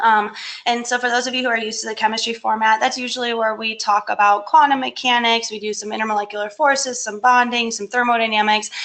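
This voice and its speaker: A woman with an American accent talks at a very fast pace with hardly any pauses. Her tone is bright and sharp. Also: fairly high pitch for a woman. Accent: Michigan accent, comes out when excited. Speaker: chemistry lecturer. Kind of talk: webinar presentation. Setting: online webinar.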